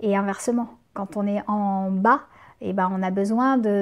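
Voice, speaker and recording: In a very clean recording with a silent background, a woman speaks very slowly at a medium pitch with fairly even intonation. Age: 40s. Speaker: community manager and freelance writer. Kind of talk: interview. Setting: in person with host. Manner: hesitant, many fillers.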